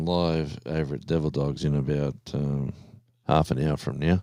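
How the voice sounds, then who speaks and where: A man speaks in an Australian accent. His pace is moderate and his intonation fairly even. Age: 60s. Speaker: live stream host. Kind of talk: casual chat. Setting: live stream. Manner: halting.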